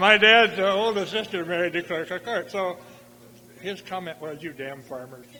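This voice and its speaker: The speaker talks at a moderate pace with an American accent, ordinary pitch variation and big swings in loudness. Noticeable background noise runs underneath. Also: man, high pitch for a man. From US, rural farm. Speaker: balloon pilot and war veteran. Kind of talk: talk to museum audience with Q&A. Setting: exhibit opening with audience. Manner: halting, many fillers.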